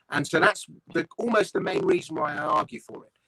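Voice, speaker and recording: A man with a southern English accent speaks in a high pitch with a bright, sharp tone, lively intonation and a fairly quick pace, the sound dry and close with no echo. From London, England. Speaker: comedian, writer and voice-over artist. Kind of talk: interview answer. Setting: online video call.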